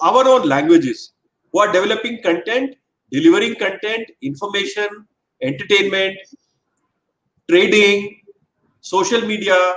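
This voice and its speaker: Pausing long and often, a man speaks at a moderate pace in a high pitch with lively intonation. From northern India, Hindi-speaking small town. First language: Hindi. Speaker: government official. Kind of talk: webinar talk. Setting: online webinar.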